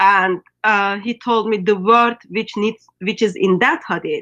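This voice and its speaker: A woman with a Turkish accent speaks very slowly at a medium pitch, with ordinary pitch variation. Her tone is bright and sharp, and the background is quiet. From Turkey. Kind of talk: casual online interview. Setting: skype call. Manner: hesitant, many fillers.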